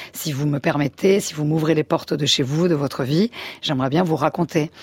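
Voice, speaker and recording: A woman speaks at a moderate pace in a very deep, low pitch with fairly even intonation, recorded with a dry, close sound and no echo. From France and Spain. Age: 40s. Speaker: photojournalist. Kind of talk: interview. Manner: hesitant.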